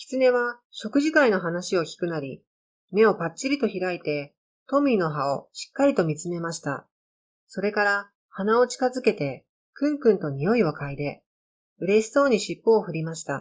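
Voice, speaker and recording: At a moderate pace, a woman speaks in a medium pitch with very wide pitch swings and big swings in loudness. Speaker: amateur storyteller reading own stories. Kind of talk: narration.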